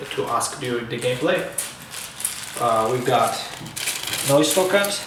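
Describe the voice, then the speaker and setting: Noticeable background noise sits behind the recording. A man with medium pitch talks with ordinary pitch variation. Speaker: board game company representative. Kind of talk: casual unboxing talk to camera.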